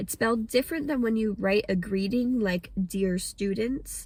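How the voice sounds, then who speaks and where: With an American accent, a woman speaks at a medium pitch with ordinary pitch variation. Her voice is somewhat breathy. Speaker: English teacher. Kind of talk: pronunciation lesson to camera.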